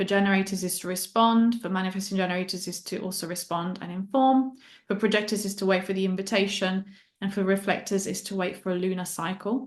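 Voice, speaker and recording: Against a quiet background, a woman talks at a very fast pace. Her pitch is medium and her intonation fairly even. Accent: Italian. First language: Italian. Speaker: human design guide and mindset coach. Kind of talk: interview.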